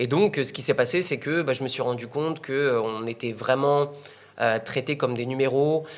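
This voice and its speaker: This man talks at a moderate pace, at medium pitch, with ordinary pitch variation. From northern France. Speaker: online entrepreneur and investor. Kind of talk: interview. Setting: in Bali. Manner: hesitant, many fillers.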